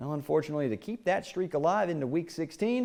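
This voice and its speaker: A man speaks fairly quickly in a fairly high pitch. Music plays in the background. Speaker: sports anchor and play-by-play announcer. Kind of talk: TV sports news anchor read.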